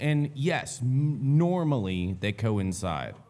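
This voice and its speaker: The intonation is lively. An audible room echo surrounds the voice. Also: man. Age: 30s. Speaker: podcast host. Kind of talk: casual chat.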